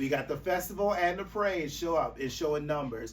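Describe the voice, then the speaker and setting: Audible room echo surrounds a man with an American accent. He speaks at a moderate pace with ordinary pitch variation. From US South, rural South Carolina. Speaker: advocacy organization representative. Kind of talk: podcast interview. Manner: animated.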